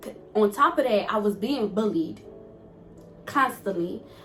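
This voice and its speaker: A woman's animated, fairly high-pitched voice with music in the background. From Togo, West Africa, then US from age nine. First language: not English (Togolese languages or French). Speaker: YouTuber. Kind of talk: casual Q&A vlog.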